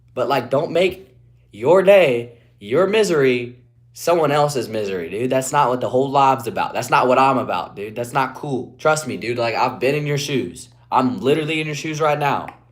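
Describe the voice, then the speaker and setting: Audible room echo surrounds a man with an American accent whose fairly high pitch carries lively intonation. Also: moderate pace. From West Virginia, Appalachia. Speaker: streamer. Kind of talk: live stream chat.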